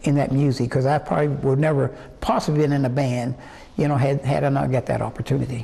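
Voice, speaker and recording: With an American accent, a man speaks in a fairly high voice against noticeable background noise. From West Virginia, Osage near Morgantown. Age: 80s+. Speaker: singer. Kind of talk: interview. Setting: museum. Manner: halting, many fillers.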